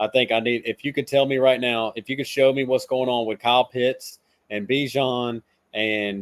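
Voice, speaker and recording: Speaking at a moderate pace with a Southern US accent, a man keeps a medium pitch and fairly even intonation. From South Carolina. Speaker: fantasy football analyst. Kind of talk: casual podcast chat.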